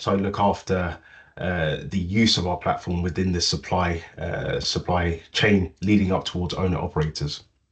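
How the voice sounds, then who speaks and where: A man's very deep, low voice with a British accent, somewhat breathy, against a quiet background. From UK. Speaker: business director. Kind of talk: online meeting introduction.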